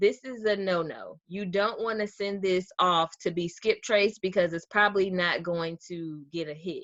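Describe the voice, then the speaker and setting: A woman with a Southern US accent talks at a fairly slow pace with ordinary pitch variation, the sound dry with no echo against a quiet background. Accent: Southern US, drops R's. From US South. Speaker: real estate wholesaler; real estate data tutor. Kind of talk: tutorial. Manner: casual, conversational with fillers. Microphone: webcam.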